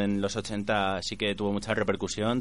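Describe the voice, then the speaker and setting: Moderately paced, the man's fairly low voice is an unremarkable speaking voice. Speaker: radio co-host. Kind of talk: casual radio chat. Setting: studio.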